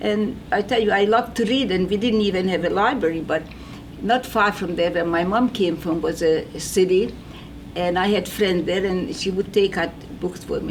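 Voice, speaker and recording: A woman with a non-native accent speaks at medium pitch and a moderate pace, with ordinary pitch variation and noticeable background noise. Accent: foreign. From Hungary. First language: Hungarian. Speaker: Holocaust survivor. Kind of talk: testimony. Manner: halting.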